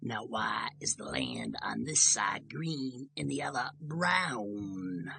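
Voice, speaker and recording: A raspy, put-on character voice at a low-to-middle pitch, very slow pace and hardly any pauses. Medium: read story. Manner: firm, wary.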